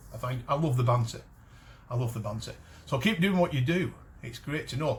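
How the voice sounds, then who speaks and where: A man with vocal fry speaks at a fairly quick pace with ordinary pitch variation. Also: medium pitch for a man. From Cumbria, northern England. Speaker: metal detecting channel host. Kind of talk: casual talk to camera. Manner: halting, many false starts and fillers.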